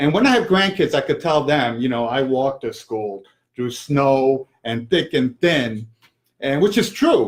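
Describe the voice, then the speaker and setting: In a New York accent, a man talks in a fairly high pitch with lively intonation. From New York City (Manhattan). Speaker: small business owner, cleaning company. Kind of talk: casual interview. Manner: hesitant, many fillers.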